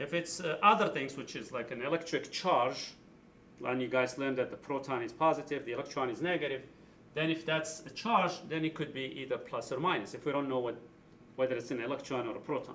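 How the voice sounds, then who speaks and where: Here a man talks at a fairly quick pace in a fairly high pitch. He has an ordinary speaking voice and ordinary pitch variation. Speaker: high school physics teacher. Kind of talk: tutorial. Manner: casual, explanatory.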